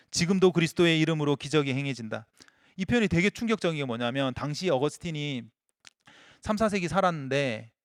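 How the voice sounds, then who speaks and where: In a dry, close sound with no echo, a man with a fairly high pitch speaks at a fairly quick pace with lively intonation. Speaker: pastor. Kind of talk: sermon. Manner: fast.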